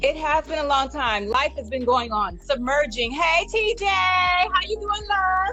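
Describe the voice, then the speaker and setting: A woman speaks in a raised, projected voice at a high pitch, her pitch swinging very widely at a fairly slow pace with hardly any pauses, while music plays in the background. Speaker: theatre artist and director. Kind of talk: casual chat. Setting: live video stream. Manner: loud; animated.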